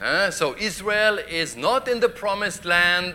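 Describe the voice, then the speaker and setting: Very slow delivery with lively intonation. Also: man. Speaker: preacher. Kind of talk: sermon. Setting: church. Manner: animated; humorous, interactive.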